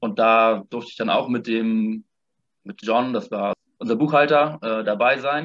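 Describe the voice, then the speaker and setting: A moderate pace and fairly even intonation, in a dry, close sound with no echo. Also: man. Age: 20s. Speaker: former volunteer abroad. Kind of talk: casual interview.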